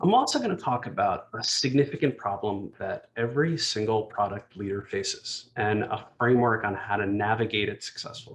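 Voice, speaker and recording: A somewhat breathy man with a New Jersey accent and lively intonation. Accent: New Jersey American. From US, New Jersey. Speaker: executive speaker. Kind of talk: conference talk. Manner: fast.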